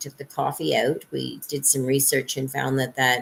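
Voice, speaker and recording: Vocal fry in a woman's very deep, low voice, delivered at a moderate pace. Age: 60s. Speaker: psychic reader. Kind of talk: live stream monologue. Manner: casual, with many fillers.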